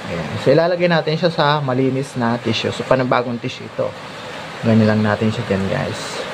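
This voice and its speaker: Amid noticeable background noise, the speaker talks at a fairly quick pace with lively intonation. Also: man, medium pitch for a man. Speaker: grape and fruit farming vlogger. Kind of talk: tutorial. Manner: louder than usual.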